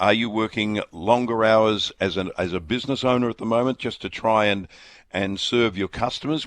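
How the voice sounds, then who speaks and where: A man speaks with an Australian accent at a medium pitch. His pace is moderate, and the background is quiet. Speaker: radio host. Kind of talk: talk radio.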